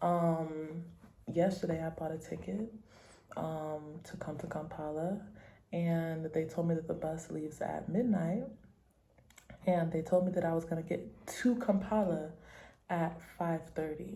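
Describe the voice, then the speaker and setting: A woman with an American accent speaks in a fairly low pitch, somewhat breathy, with a dark, mellow tone. Her intonation is fairly even, with long, frequent pauses and audible room echo. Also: fairly slow pace. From United States. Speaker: travel vlogger. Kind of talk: travel vlog; casual chat.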